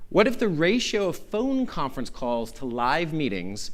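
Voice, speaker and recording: A man with a General American accent, audible room echo around his voice. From Arizona. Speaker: law professor. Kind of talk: conference lecture. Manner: fast.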